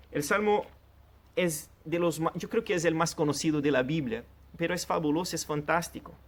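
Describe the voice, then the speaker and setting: A man's fairly high voice, with normal pitch movement, proceeds at a moderate speed. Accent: Portuguese. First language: Portuguese (speaking Spanish). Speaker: pastor. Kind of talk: sermon.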